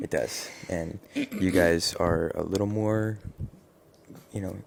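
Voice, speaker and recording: A man whispers quietly. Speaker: father and vlogger. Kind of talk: casual chat. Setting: at home. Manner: whispering, quiet.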